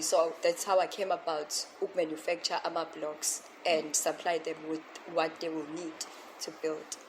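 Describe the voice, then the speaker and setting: Noticeable noise sits behind a woman whose pitch runs fairly low. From South Africa, Pietermaritzburg area. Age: 20s. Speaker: entrepreneur. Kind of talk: interview.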